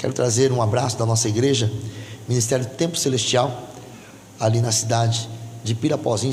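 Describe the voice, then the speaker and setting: A man speaks at a moderate pace, medium in pitch with ordinary pitch variation. Audible room echo and noticeable background noise surround him. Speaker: pastor. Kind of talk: sermon. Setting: church. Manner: loud.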